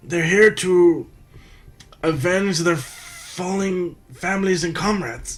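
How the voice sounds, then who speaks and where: This is a put-on character voice. The man pitches it high. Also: fairly slow pace. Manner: gravelly, dramatic.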